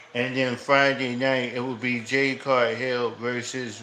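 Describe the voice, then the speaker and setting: A man's medium-pitched voice at a very slow pace, in monotone, flat intonation, with audible room echo and noticeable background noise. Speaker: wrestling livestreamer. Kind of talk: casual livestream chat. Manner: loud; halting, many fillers.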